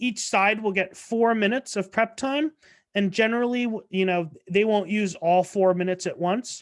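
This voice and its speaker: Woman with an unremarkable speaking voice, fairly slow pace and ordinary pitch variation, against a quiet background. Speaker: debate coach. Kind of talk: training presentation. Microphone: video call.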